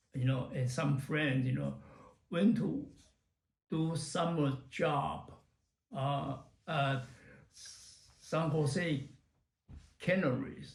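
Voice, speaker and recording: Very slow speech broken by long, frequent pauses, with vocal fry and audible room echo. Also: man, fairly high pitch for a man, ordinary pitch variation. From Taiwan. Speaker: retired computer professional. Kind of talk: oral history interview. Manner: halting, many fillers.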